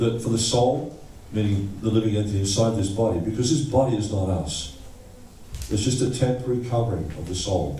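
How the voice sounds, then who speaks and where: With an Australian accent and ordinary pitch variation, the speaker talks at a fairly quick pace amid noticeable background noise and audible room echo. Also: man, medium pitch for a man. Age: 60s. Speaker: visiting lecturer, Hare Krishna monk. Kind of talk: lecture. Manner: halting, repeats words.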